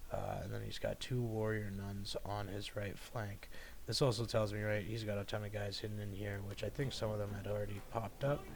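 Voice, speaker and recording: In a room with audible echo, a man speaks in a somewhat breathy voice at a fairly low pitch with a monotone, flat intonation. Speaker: gaming video creator. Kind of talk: game commentary. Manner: fast; casual, many fillers.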